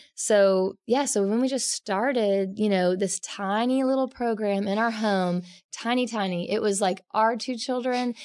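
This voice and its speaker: A woman with an American accent talks at a fairly slow pace with hardly any pauses, in an ordinary speaking voice. Her pitch is fairly high with ordinary variation, against a quiet background. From Oklahoma, US. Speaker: naturalist educator. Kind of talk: casual interview chat.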